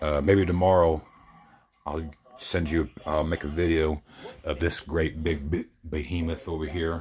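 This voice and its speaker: A man's very deep, low voice, monotone and flat, at a fairly slow pace with long, frequent pauses. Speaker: model truck builder. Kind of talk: casual show-and-tell video. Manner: halting, repetitive.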